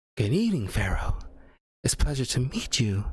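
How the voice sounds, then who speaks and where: In a put-on character voice, the speaker talks at a fairly quick pace with very wide pitch swings. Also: man, medium pitch for a man. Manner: somber, kind.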